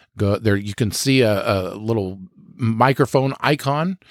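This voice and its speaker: A man talks at a moderate pace with a fairly low pitch. His intonation is lively. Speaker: podcast host. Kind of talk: scripted narration.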